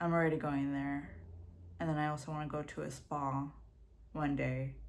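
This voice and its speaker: Through audible room echo, a woman mumbles. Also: moderate pace. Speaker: vlogger. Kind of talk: casual vlog monologue. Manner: mumbling.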